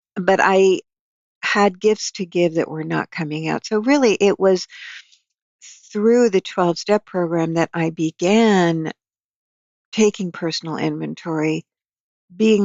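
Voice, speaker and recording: A woman talks at a fairly slow pace in a normal speaking voice, with ordinary pitch variation. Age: 60s. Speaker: psychotherapist and author. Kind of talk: interview conversation.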